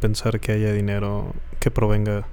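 A man speaks with a dark, mellow tone. His intonation stays monotone and flat. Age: 30s. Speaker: podcast co-host. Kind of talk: casual chat.

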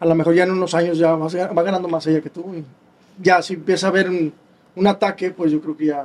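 This man speaks very fast in a high voice. His intonation is flat and monotone. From Mexico, Nuevo León (San Nicolás de los Garza). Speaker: drummer. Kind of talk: interview.

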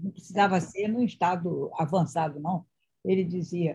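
Somewhat breathy and dark, mellow in tone, a woman speaks with ordinary pitch variation. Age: 40s. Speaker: live-stream host. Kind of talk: casual interview on live stream. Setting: live video stream.

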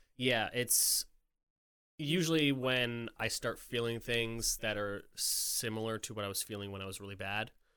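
A man with an American accent speaks at a moderate pace in a medium pitch, with ordinary pitch variation. His tone is bright and sharp, and the recording is very clean with a silent background. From upstate New York. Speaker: music industry worker. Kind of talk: casual chat.

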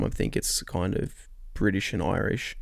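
The recording is very clean, with a silent background. A man speaks in an Australian accent. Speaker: host's boyfriend. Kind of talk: casual chat.

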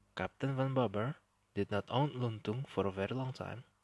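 A man speaks with an Indonesian accent at a moderate pace. His pitch is medium, with ordinary pitch variation. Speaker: history podcast host. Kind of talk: storytelling narration.

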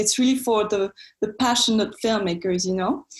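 A woman's fairly high, somewhat breathy voice with a French accent. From France. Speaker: film student and entrepreneur. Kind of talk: interview. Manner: hesitant, many fillers.

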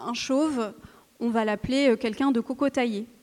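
Her pitch fairly high, a woman talks at a very slow pace. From France, of Algerian Kabyle parents. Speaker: novelist. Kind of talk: literary panel talk. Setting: stage with audience.

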